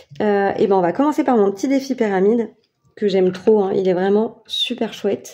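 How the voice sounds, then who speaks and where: Fairly slow speech from a woman at medium pitch, with ordinary pitch variation. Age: 30s. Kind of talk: casual talk to camera. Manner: casual, hesitant with many fillers.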